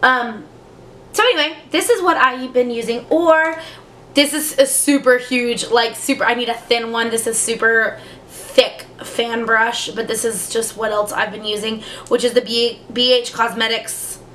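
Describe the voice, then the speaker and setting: A woman with a fairly high pitch talks at a fairly slow pace. Noticeable background noise can be heard. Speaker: beauty youtuber. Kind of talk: casual product review chat. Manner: hesitant, many fillers.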